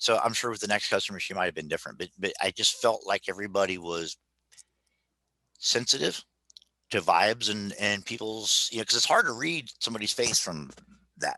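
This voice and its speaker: With a bright, sharp tone and fairly low pitch, a man speaks at a fairly quick pace broken by long, frequent pauses, the sound dry and close with no echo. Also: ordinary pitch variation. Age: 50s. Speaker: travel agency presenter. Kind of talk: casual chat.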